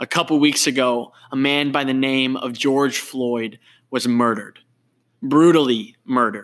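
In an unremarkable speaking voice, a man at medium pitch talks at a fairly slow pace with fairly even intonation, recorded very cleanly against a silent background. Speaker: podcast host. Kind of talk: faith-based interview conversation. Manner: warm, earnest.

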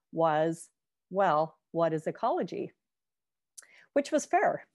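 A woman talks with a western Canadian accent. Her pitch swings very widely against a quiet background. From Canada, Victoria, British Columbia. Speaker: professor. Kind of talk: lecture.

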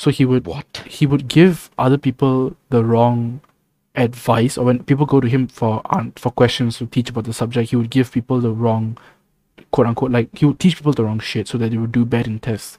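In a dry, close recording with no echo, a man with an ordinary speaking voice talks fairly quickly at medium pitch with fairly even intonation. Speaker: podcast co-host. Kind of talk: casual chat.

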